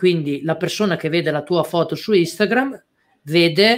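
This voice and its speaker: Using a normal speaking voice, a man with a fairly high pitch talks at a fairly slow pace with ordinary pitch variation. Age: 30s. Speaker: e-commerce entrepreneur and course teacher. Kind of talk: live-stream interview. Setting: online live stream.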